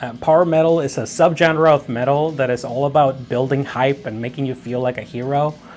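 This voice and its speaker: Music plays in the background while a man talks at a moderate pace. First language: Spanish. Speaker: music composition teacher. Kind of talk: tutorial. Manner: casual with frequent fillers.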